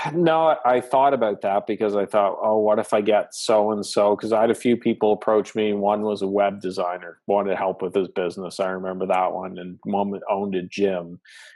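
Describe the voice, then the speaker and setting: Over a silent background in a very clean recording, a man speaks at a fairly low pitch with a slight Canadian accent. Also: ordinary pitch variation, moderate pace, hardly any pauses. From Atlantic Canada. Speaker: business coach, podcaster. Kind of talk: interview.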